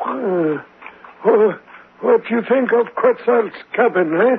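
A man performs a put-on character voice at an extremely high pitch. He goes at a fairly slow pace. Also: ordinary pitch variation. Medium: audio drama. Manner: cryptic, terse, refers to himself in third person.

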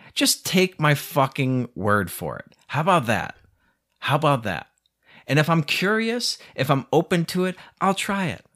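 Speaking fairly slowly, a man with a fairly high voice sounds animated, his pitch making very wide swings. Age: 30s. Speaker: podcast host. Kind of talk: solo rant monologue. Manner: animated, casual with frequent laughs.

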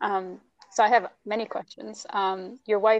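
A woman with an American accent speaks in a flat, monotone way. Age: 30s. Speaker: podcast host, language teacher. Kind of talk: interview.

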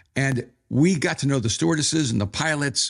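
A man with vocal fry and lively intonation speaks at a moderate pace on a very clean recording with a silent background. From El Salvador. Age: 60s. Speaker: pastor and author. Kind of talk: interview conversation.

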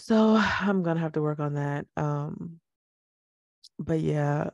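Dark and mellow in tone, the woman's voice is very deep and low in pitch. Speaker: podcast host. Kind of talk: casual chat. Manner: relaxed, jokey.

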